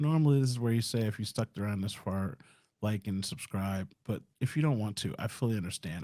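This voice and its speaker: Lively intonation and a dark, mellow tone at a fairly quick pace, in a very clean recording with a silent background. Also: man. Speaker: tech vlogger. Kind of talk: casual monologue. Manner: fast.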